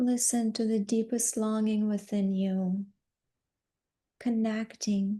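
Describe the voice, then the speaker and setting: Speaking at a very slow pace with long, frequent pauses, a woman uses a fairly high, somewhat breathy voice with a dark, mellow tone, a calm, soothing tone and monotone, flat intonation against a quiet background. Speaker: yoga nidra guide. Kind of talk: guided yoga nidra relaxation. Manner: slow, calm, soothing.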